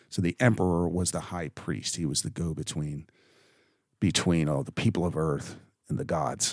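With vocal fry and a very deep, low pitch, a man talks at a moderate pace using ordinary pitch variation. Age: old. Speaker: bible teacher. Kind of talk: scripture reading and commentary. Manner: casual, hesitant with fillers.

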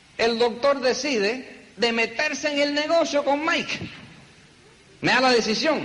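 This man's voice is extremely high in pitch, holds a very even loudness and shows ordinary pitch variation, with long, frequent pauses, audible room echo and noticeable background noise. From New York, the Bronx. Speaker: network marketing leader. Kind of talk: motivational talk.

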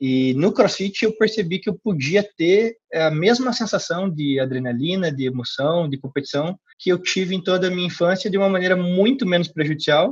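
Against a quiet background, a man with a high pitch talks at a moderate pace with hardly any pauses and lively intonation. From Curitiba, Paraná, southern Brazil. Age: 20s. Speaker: CrossFit gym co-founder. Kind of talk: interview. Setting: call. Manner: hesitant, many filler repetitions.

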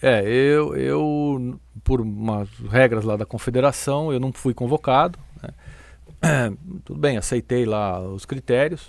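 A man with a medium pitch and ordinary pitch variation speaks at a fairly slow pace, with long, frequent pauses and big swings in loudness. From Brazil, São Paulo. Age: 50s. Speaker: athletics coach. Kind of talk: casual interview.

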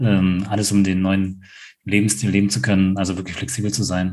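Room echo is audible as a man speaks at a moderate pace in a fairly low pitch. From rural Germany. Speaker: podcast co-host. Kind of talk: casual chat.

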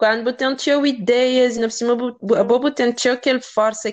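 A woman with an ordinary speaking voice, fairly high in pitch, at a moderate pace against a quiet background. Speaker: podcast host. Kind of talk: interview.

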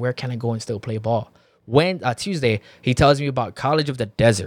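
A man with a medium pitch and ordinary pitch variation has an unremarkable speaking voice, heard on a very clean recording with a silent background and a dry, close sound with no echo. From Filipino-American background. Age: 30s. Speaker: entrepreneur and former football player. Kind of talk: casual chat.

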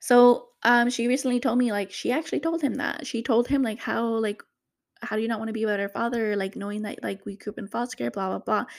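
A very fast, animated delivery with ordinary pitch variation. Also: woman, fairly high pitch for a woman. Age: 30s. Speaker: podcast host, single mother. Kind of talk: casual monologue.

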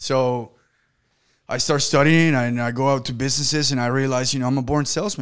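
Over a silent background on a very clean recording, a man talks at a fairly quick pace in a plain, everyday voice with medium pitch and fairly even intonation. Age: 20s. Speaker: podcast host, business owner. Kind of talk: casual interview chat.

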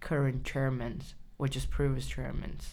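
Against audible room echo, a woman with a Chinese accent speaks in a flat monotone at a very deep, low pitch. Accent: Chinese (Mandarin). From China. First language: Mandarin Chinese. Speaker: writer. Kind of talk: interview. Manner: halting.

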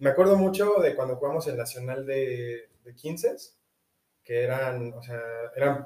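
A man speaks at a medium pitch in a dark, mellow, somewhat breathy tone. His pace is fairly slow and his pitch varies in an ordinary way. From Mexico. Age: 20s. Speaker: university student and rugby player. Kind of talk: casual interview. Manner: halting, repeats words.

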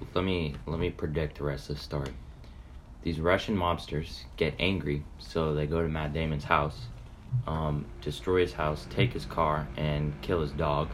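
With audible room echo around him, a man speaks fairly slowly in a very deep, low pitch with ordinary pitch variation. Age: 20s. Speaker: podcast co-host. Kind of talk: casual chat.

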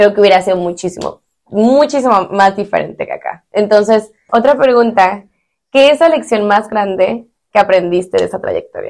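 A woman with a fairly high pitch talks at a moderate pace. It is a plain, everyday voice with ordinary pitch variation. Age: 20s. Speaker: podcast host. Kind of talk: casual interview.

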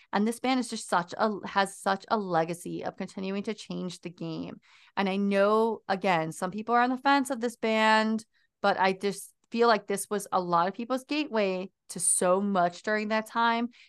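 A woman speaks at a moderate pace and a medium pitch, her tone animated. The background is quiet. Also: ordinary pitch variation. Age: 30s. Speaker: podcast host. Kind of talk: casual chat.

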